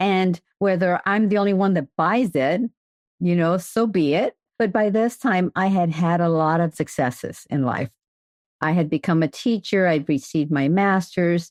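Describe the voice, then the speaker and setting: A woman with a normal speaking voice talks at a moderate pace, her pitch fairly low with ordinary pitch variation and very even loudness. The sound is dry and close with no echo, over a quiet background. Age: 60s. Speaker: children's author and retired teacher. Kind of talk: podcast interview.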